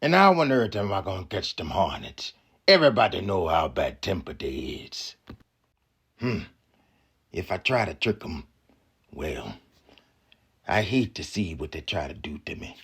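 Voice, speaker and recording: A man does a put-on character voice, raspy and fairly low in pitch. He moves at a moderate pace with long, frequent pauses. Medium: read story.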